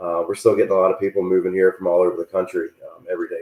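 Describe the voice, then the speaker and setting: A man speaks with a Southern US accent. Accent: southern twang. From Virginia, Richmond. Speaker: real estate agent. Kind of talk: casual chat. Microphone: too quiet.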